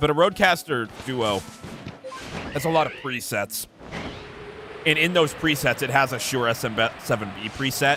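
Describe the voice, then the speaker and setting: With music in the background, a man of fairly high pitch and ordinary pitch variation talks at a moderate pace with long, frequent pauses. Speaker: gaming streamer. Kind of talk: livestream gameplay commentary. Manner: casual, conversational.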